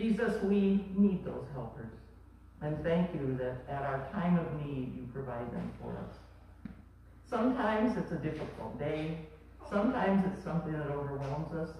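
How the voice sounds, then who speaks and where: Strong room echo and light background noise surround speech at a moderate pace. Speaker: pastor leading children's message. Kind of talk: children's sermon and prayer. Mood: gentle, warm, simple words. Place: church.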